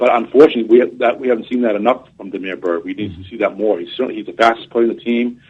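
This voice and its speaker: A man talks at a very fast pace. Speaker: college football reporter. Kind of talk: sports radio interview. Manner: halting, many fillers and repeats.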